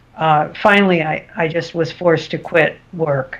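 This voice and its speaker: The speech moves at a fairly slow pace in a monotone, flat intonation. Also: woman. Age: 70s. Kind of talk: interview answer.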